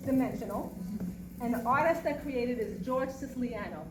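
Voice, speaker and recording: In a New York accent, a woman talks with a high pitch and ordinary pitch variation, and the room has an audible echo. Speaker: quilter. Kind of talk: presentation to audience. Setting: museum talk with live audience.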